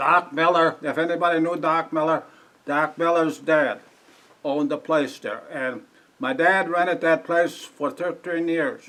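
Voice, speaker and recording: In an American accent, a man speaks at a fairly slow pace with long, frequent pauses. His voice is fairly high-pitched, bright and sharp, with ordinary pitch variation. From Wisconsin, US Midwest. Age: 80s+. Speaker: local elder interviewed by historical society. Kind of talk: oral history interview before audience. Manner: halting, searching for words.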